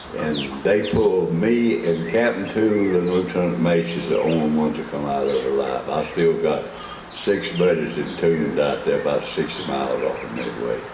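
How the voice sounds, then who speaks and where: Over noticeable background noise and audible room echo, a man talks at a moderate pace with a Southern US accent. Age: 90s. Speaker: war veteran. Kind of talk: speech. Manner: folksy storytelling.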